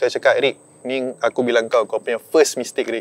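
The recording is dry, with no echo. A man talks at a fairly quick pace. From Malaysia, Melaka; Malaysia. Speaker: surfer; guest. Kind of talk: storytelling. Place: open country.

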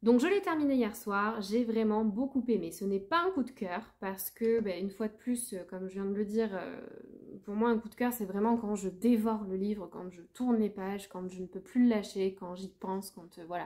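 This woman keeps a moderate pace. Her volume rises and falls by big amounts. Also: ordinary pitch variation, quiet background. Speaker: book vlogger. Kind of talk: casual vlog chat. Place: home room. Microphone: phone near.

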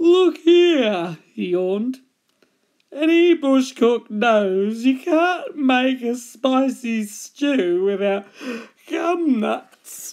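A put-on character voice, female-sounding and fairly high-pitched, at a very slow pace. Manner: yawning, sleepy.

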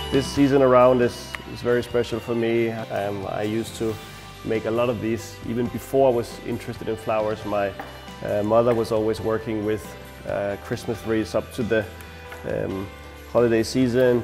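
With clear music behind him, a man talks at a moderate pace. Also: fairly even intonation. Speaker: florist instructor. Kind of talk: tutorial. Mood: warm, nostalgic. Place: studio. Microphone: lapel.

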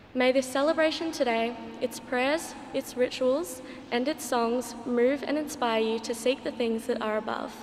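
Light background noise sits behind a woman speaking at a moderate pace. Her pitch is high and her intonation fairly even. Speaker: student reader at Mass. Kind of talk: formal liturgical welcome. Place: church. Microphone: podium.

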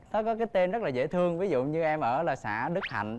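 A man talks at a fairly quick pace with lively intonation. Light background noise sits behind him. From Vietnam, Binh Thuan province (Duc Linh); Vietnam. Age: 20s. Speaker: dating show contestant, IT worker. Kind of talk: dating show conversation. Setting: TV studio stage. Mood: cheerful, a bit shy. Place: studio. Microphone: lapel.

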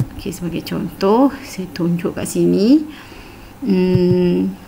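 Amid noticeable background noise, a woman with a fairly low pitch talks at a very slow pace. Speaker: teacher. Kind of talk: tutorial. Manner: hesitant with fillers.

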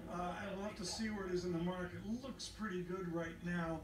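Background noise is noticeable throughout. The delivery moves at a moderate speed. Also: man. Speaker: radio and TV news anchor. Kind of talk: live news commentary. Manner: animated.

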